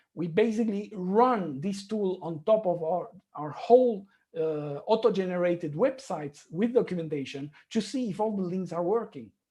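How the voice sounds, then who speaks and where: The speaker has a non-native accent and a moderate pace. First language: not English. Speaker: conference speaker, software engineer. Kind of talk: conference talk.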